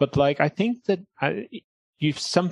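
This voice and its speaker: A man with a Welsh accent and ordinary pitch variation, in a dry, close sound with no echo against a quiet background. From South Wales. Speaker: comedian. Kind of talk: casual chat.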